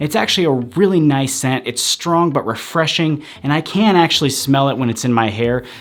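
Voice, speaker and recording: A man speaks at a moderate pace with a fairly high pitch and lively intonation. Background noise is noticeable. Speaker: men's hair product reviewer. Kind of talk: casual product review to camera.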